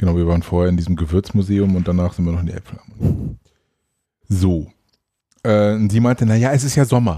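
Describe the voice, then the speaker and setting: A man with a very deep, low pitch and ordinary pitch variation talks at a fairly quick pace, leaving long, frequent pauses. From Hannover, northern Germany. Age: 40s. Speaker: firefighter. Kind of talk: casual chat.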